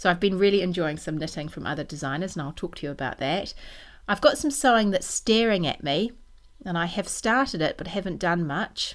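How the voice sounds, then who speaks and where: A woman with a New Zealand accent talks at a fairly quick pace and medium pitch, her intonation lively. The recording is very clean, with a silent background. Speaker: knitting podcaster and designer. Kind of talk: casual monologue.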